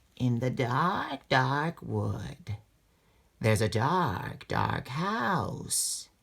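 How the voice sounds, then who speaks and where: In a raspy, whispering put-on character voice, the speaker moves at a very slow pace. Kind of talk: ghost story voice. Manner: whispering, spooky.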